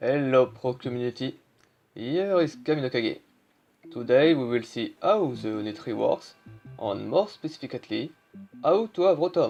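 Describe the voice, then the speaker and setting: A man with a French accent and a fairly high pitch, moderate pace and lively intonation, long pauses coming often, music in the background. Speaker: video game guide creator. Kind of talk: tutorial.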